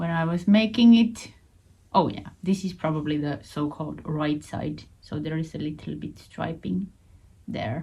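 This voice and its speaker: A woman's very deep, low, dark and mellow voice, somewhat breathy, in a Finnish accent, with lively intonation at a fairly slow pace. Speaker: knitting vlogger. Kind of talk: casual show-and-tell vlog. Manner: halting, repeats words.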